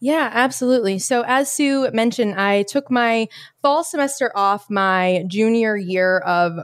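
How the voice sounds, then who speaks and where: This woman has a fairly high pitch and lively intonation. It is a normal speaking voice. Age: 20s. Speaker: fitness coach. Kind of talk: interview.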